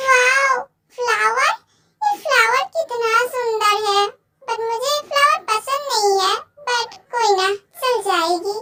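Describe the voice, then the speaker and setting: Using a put-on character voice, a woman speaks at a fairly slow pace. Her pitch is extremely high, with ordinary variation. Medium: audio drama. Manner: forward, teasing.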